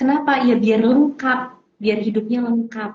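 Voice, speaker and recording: This woman's pitch is fairly high. Her intonation stays fairly even. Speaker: parenting coach or counselor. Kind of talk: casual interview chat.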